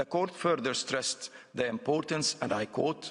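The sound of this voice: Fairly slow pace, a slightly husky edge and ordinary pitch variation. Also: man, medium pitch for a man.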